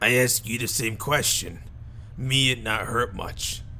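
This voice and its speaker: Over clear background noise, someone performs a put-on character voice at a fairly slow pace. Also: man, medium pitch for a man. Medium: game stream. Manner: broken caveman grammar, "me" for "I".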